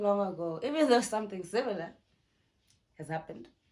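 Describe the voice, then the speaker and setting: Here a woman talks, her intonation lively. The room gives an audible echo. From South Africa. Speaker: YouTuber. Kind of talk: storytime vlog, casual chat. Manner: animated.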